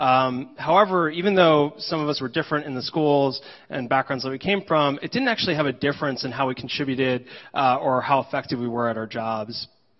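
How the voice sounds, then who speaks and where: Against a quiet backdrop, a man's fairly quick speech shows ordinary pitch movement. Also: fairly high pitch for a man. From New Jersey, US. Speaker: engineering leader. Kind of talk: conference talk. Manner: frequent filler words. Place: hall.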